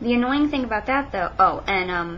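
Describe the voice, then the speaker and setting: A woman talks over noticeable background noise. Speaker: college student. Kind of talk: casual talk to camera. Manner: slower than usual, hesitant.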